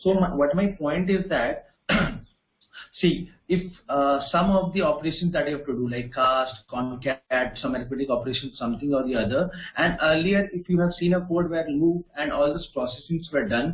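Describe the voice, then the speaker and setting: At a moderate pace, a man talks in a fairly high pitch with ordinary pitch variation, in an ordinary speaking voice. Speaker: programming instructor. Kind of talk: online class.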